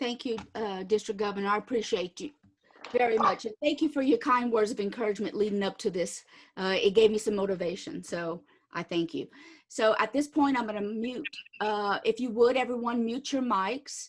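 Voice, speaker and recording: A woman uses an ordinary speaking voice at fairly high pitch. She talks at a fairly quick pace with ordinary pitch variation. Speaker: membership presenter. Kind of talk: presentation.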